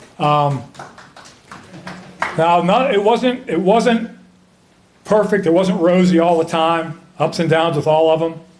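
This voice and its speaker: A high-pitched man with an American accent speaks fairly slowly with long, frequent pauses, ordinary pitch variation and very even loudness, over noticeable background noise. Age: 70s. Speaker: hall of fame inductee, former basketball player and referee. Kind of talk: acceptance speech. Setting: ceremony with audience.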